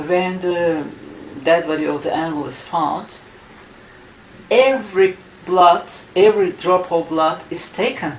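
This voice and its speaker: Noticeable background noise sits behind a woman with a Turkish accent and a fairly low pitch. She speaks at a fairly slow pace with ordinary pitch variation and long, frequent pauses. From Turkey. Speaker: UFO researcher and author. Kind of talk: interview. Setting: in Istanbul, Turkey.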